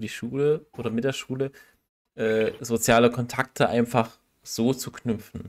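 A man talks in a normal speaking voice at a fairly slow pace. His intonation is fairly even, on a very clean recording with a silent background. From Saxony, Germany. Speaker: podcast co-host. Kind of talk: casual chat.

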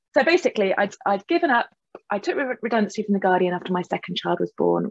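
A woman talks at a very fast pace. She speaks with a southern English accent. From England. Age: 40s. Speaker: novelist; guest. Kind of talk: interview. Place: home room. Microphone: video call.

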